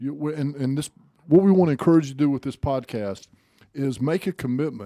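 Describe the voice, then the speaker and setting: A man speaks at a fairly quick pace with a fairly high voice and a dark, mellow tone. The recording is very clean, with a silent background. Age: 50s. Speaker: motivational speaker and podcast co-host. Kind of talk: casual chat.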